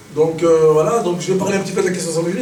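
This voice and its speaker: Amid noticeable background noise and audible room echo, a man with a high pitch speaks with ordinary pitch variation. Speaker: anti-racism activist. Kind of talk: conference talk. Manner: fast; halting.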